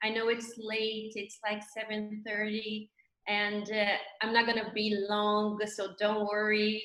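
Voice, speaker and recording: A woman's fairly high voice at a very slow pace, with audible room echo. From Brazil. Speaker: labour judge, guest speaker. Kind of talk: webinar talk.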